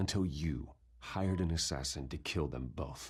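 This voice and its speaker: A man's growling, put-on character voice, very deep and low in pitch, intense in tone, at a moderate pace with ordinary pitch variation. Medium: video game. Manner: terse, intense.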